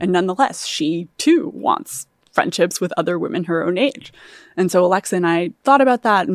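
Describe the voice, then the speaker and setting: Using an unremarkable speaking voice, a woman talks at a moderate pace with a fairly low pitch. The recording is very clean with a silent background, and the sound is dry and close, with no echo. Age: 30s. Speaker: startup founder. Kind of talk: interview.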